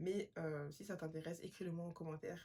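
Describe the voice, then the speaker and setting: A somewhat breathy voice at a fairly quick pace, in a Parisian accent. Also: woman. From Paris, France. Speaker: podcast host. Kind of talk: self-help podcast monologue. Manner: fast.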